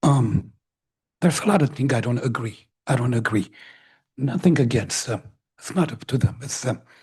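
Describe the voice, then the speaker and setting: A man speaks at a moderate pace and medium pitch, somewhat breathy, with ordinary pitch variation and long, frequent pauses. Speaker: public commenter at council meeting. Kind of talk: public comment.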